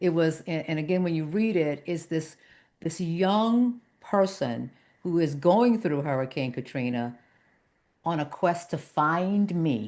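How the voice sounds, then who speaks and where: Over a quiet background, a woman with an American accent talks at a fairly slow pace and fairly low pitch in a normal speaking voice, with lively intonation. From Southwest Louisiana, US South. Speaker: broadcast journalist. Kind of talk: interview conversation.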